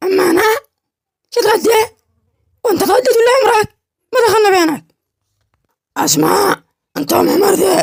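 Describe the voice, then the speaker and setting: Speaking at a fairly slow pace with long, frequent pauses, a man with an extremely high pitch keeps his loudness very even and uses ordinary pitch variation, in a dry, close sound with no echo. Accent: Yemeni. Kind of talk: comedic dub of a drama character.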